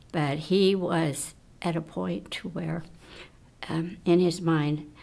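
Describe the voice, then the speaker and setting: A woman speaks with a very deep, low pitch and vocal fry. Her intonation stays fairly even. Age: 80s+. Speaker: research volunteer. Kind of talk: interview testimony.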